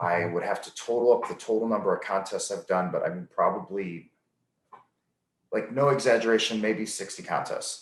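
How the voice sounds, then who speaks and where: Big swings in loudness run through a man's speech at a moderate pace. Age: 30s. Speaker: strength athlete. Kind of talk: interview. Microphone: occasional connectivity issues.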